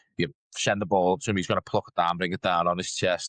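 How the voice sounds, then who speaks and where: This man talks at a very fast pace with a northern English accent, his voice very deep and low. The sound is dry and close with no echo, over a quiet background. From northern England. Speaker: podcast co-host. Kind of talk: casual chat.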